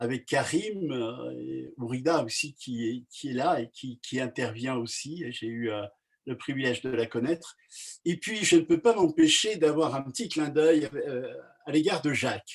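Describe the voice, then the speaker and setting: This man's voice sits at a fairly high pitch, with lively intonation. He talks at a fairly slow pace. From France (Savoie), Kabyle family. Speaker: pastor. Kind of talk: casual talk, online meeting. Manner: halting, many hesitations.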